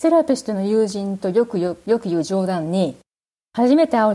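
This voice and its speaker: In a very clean recording with a silent background, a woman speaks with a medium pitch, a dark, mellow tone and lively intonation. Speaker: therapist. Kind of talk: interview conversation.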